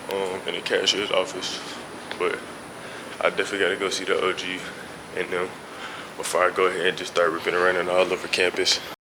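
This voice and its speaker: The speech comes at a very fast pace, broken by long, frequent pauses. Noticeable background noise sits behind it. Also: man. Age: 20s. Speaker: college student vlogger. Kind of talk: vlog. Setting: walking outdoors around campus. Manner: monotone.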